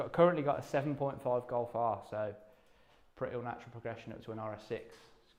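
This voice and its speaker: The man's pitch is medium and his intonation fairly even. He talks at a very fast pace. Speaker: competition draw host. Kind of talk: live stream presentation.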